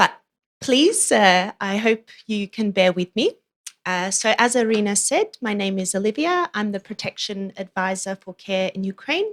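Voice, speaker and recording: A woman at a medium pitch with ordinary pitch variation, a moderate pace and an Australian accent. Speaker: humanitarian protection advisor. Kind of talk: conference presentation.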